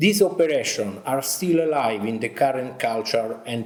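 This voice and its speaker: A man with an Italian accent speaks at a medium pitch and fairly slow pace, with noticeable background noise and audible room echo. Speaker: army officer and military history teacher. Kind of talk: conference presentation.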